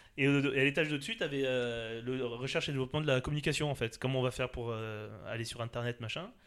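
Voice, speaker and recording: With hardly any pauses, a man rushes along at a very fast pace in a medium pitch and fairly even intonation. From Alsace, France. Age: 40s. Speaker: party organizer and entrepreneur. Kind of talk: casual interview.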